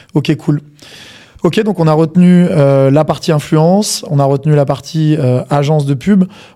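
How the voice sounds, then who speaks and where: A man with a fairly high pitch speaks at a fairly slow pace, his loudness very even and his pitch variation ordinary, over noticeable background noise. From provincial France. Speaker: podcast co-host. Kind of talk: interview.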